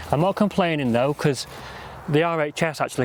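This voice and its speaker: Speaking in a Lancashire accent, a man keeps a moderate pace with ordinary pitch variation. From northern England, Lancashire. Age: 20s. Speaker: gardening vlogger. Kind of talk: casual monologue while working. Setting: outdoors at allotment. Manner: rambling, chatty.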